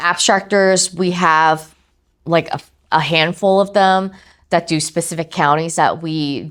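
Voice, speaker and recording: On a very clean recording with a silent background, a woman with a fairly low pitch speaks in a normal speaking voice at a fairly slow pace. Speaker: title company representative. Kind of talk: training presentation.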